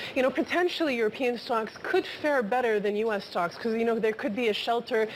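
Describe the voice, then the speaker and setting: There is noticeable background noise behind a woman's fairly high-pitched voice. She speaks at a fairly quick pace with ordinary pitch variation. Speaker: markets reporter. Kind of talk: live TV market discussion. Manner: stuttering.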